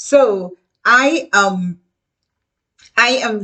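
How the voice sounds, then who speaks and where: A woman with a Guyanese accent, bright, sharp tone and lively intonation. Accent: Guyanese Caribbean English. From Caribbean (Guyana). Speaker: educator. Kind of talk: casual talk to camera. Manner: halting.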